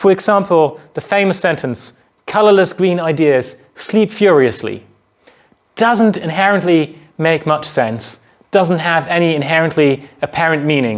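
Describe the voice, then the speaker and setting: With a German accent, a man talks at a fairly slow pace. His voice sits fairly high, with ordinary pitch variation. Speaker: university lecturer. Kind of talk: lecture.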